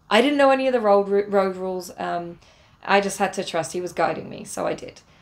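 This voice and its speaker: A woman with an English accent, at a moderate pace and a medium pitch. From England. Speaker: travel vlogger. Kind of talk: casual storytelling vlog. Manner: hesitant, many fillers.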